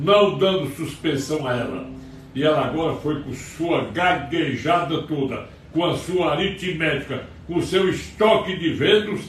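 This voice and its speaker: The speech moves at a fairly slow pace with ordinary pitch variation. Noticeable background noise and audible room echo fill the recording. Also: man, fairly high pitch for a man. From Brazil, Ceará interior. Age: 80s+. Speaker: lawyer and political commentator. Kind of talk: political commentary monologue. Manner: heated, agitated.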